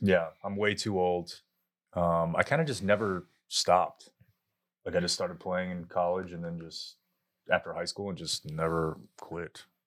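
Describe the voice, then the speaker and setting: Recorded very cleanly against a silent background, a voice with an American accent moves at a moderate pace with big swings in loudness. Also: man. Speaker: podcast host, former radio personality. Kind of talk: casual chat. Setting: studio.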